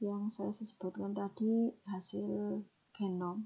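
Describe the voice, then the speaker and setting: A woman whispers in a somewhat breathy voice. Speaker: lecturer. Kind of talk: recorded lecture explanation. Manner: whispered; some stumbling words.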